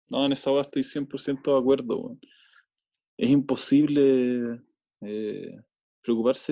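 Speaking with a Chilean accent in a dark, mellow tone, a man uses a fairly high pitch at a fairly slow pace with long, frequent pauses against a quiet background. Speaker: filmmaker. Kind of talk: casual chat.

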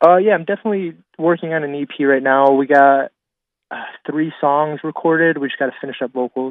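Fairly even intonation marks this man's ordinary speaking voice, which is fairly high in pitch and moves at a fairly quick pace. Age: 20s. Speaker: guitarist. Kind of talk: casual chat.

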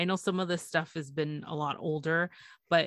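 A woman with a Canadian accent speaks in a plain, everyday voice, fairly low in pitch, at a moderate pace with fairly even intonation. The sound is dry and close with no echo, over a quiet background. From Canada, Toronto. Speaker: podcast host. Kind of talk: casual chat.

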